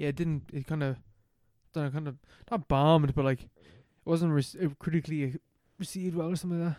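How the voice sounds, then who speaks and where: The voice has a dark, mellow tone and comes at a very fast pace with big swings in loudness, the sound dry and close with no echo. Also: man, fairly high pitch for a man, fairly even intonation. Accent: Irish. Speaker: film podcast co-host. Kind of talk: casual chat.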